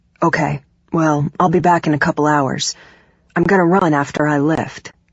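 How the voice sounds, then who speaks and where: In a put-on character voice, a woman speaks at a moderate pace with a raspy, very deep, low pitch, monotone, flat intonation and very even loudness. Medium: read story. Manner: warm, affectionate.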